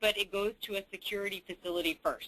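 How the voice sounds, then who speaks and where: A woman with an American accent speaks in a bright, sharp tone. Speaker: government agency director. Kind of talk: webinar presentation. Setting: webinar. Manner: speaking louder.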